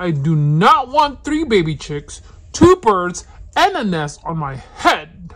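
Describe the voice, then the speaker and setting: A put-on character voice at a middle pitch and a fairly slow pace. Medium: read story. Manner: fretful, questioning.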